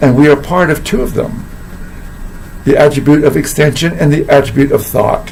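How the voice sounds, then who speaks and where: Against noticeable background noise, a man speaks fairly quickly at a fairly high pitch, his intonation monotone and flat. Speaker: philosophy teacher and coach. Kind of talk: casual talk to camera.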